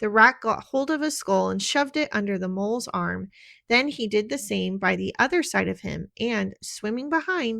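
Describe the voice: This is plain reading aloud. The text is read out without a performance.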